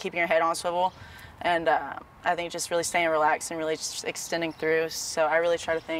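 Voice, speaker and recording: A woman with a fairly low pitch talks at a very fast pace in monotone, flat intonation. The sound is dry with no echo, with light background noise. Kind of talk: interview answer. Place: stadium.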